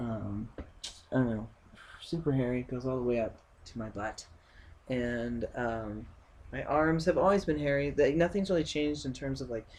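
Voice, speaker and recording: Pausing often and at length, a man speaks at a moderate pace and medium pitch with ordinary pitch variation. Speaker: vlogger sharing transition updates. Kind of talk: casual video diary. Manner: hesitant, many fillers.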